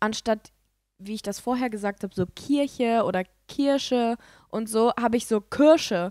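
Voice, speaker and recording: In a dry recording with no echo and a quiet background, a woman talks with ordinary pitch variation. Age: 20s. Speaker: podcast co-host. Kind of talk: casual chat. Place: home room.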